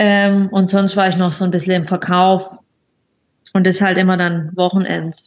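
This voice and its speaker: The pace is moderate, broken by long, frequent pauses. Intonation stays monotone and flat, with very even loudness. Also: woman, medium pitch for a woman. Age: 20s. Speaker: occupational therapist and traveller. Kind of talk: casual interview.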